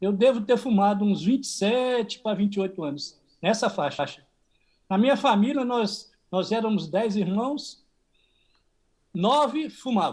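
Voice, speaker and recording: A man speaks fairly slowly in a high pitch with ordinary pitch variation, leaving long, frequent pauses. The recording is very clean, with a silent background. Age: 60s. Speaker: cancer patient. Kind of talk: testimony.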